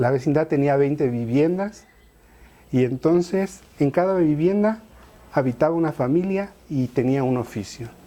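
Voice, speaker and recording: With a normal speaking voice, a man talks at a fairly slow pace, fairly high in pitch and with lively intonation. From Mexico City, Tepito. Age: 40s. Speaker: artist and writer. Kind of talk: interview testimony. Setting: at home, apartment. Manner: conversational.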